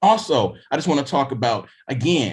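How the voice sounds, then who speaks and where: In a very clean recording with a silent background, a man's somewhat breathy, fairly high voice carries lively intonation. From US South, Mississippi. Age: 40s. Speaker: author. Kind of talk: panel discussion.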